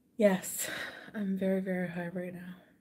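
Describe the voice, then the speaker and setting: Her voice has a dark, mellow quality with some breathiness. The woman's delivery is flat and monotone. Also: moderate pace. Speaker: streamer. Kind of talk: casual vlog chat. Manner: giggly, loose, intoxicated speech. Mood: playful, relaxed. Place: home room. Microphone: webcam.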